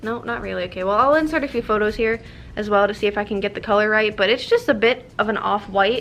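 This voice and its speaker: A woman with a fairly high voice talks at a very fast pace. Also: ordinary pitch variation. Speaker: YouTuber doing product review. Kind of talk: casual product taste test vlog. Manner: somewhat halting, stumbling over words.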